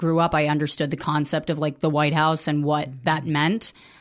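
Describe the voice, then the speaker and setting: On a very clean recording with a silent background, a woman with an American accent speaks in a very deep, low pitch. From US, wealthy area. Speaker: comedian and writer. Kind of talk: personal testimony interview.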